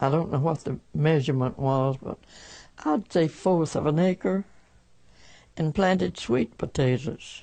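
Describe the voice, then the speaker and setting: A woman speaks very slowly in a Southern US accent, her pitch very deep and low, her tone dark and mellow, and her intonation lively. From rural Alabama. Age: 80s+. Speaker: 1918 flu pandemic survivor. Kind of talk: interview answer.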